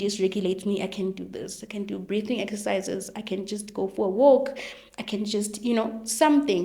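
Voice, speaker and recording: Audible room echo and noticeable background noise surround a woman speaking. She talks at a fairly quick pace in a medium pitch. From South Africa, Venda (Limpopo). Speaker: educational psychologist. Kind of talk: interview. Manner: fast.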